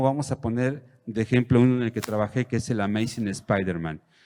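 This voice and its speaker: A man's dark, mellow voice at medium pitch and moderate pace, on a very clean recording with a silent background. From Mexico. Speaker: comic book artist. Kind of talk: panel talk. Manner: halting, many fillers.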